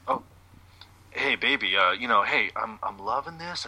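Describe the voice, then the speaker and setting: A man drawls at a moderate pace. He uses a put-on character voice. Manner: smooth, drawling, laid-back.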